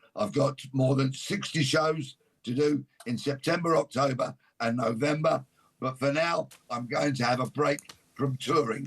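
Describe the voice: Putting on a character voice, a man speaks at a fairly slow pace and medium pitch, sounding hoarse, raspy and croaky.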